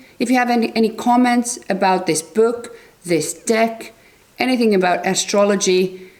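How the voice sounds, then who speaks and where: A woman speaks with a Finnish accent. She talks at a fairly slow pace. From Finland. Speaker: tarot and astrology youtuber. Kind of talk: book review monologue. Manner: halting.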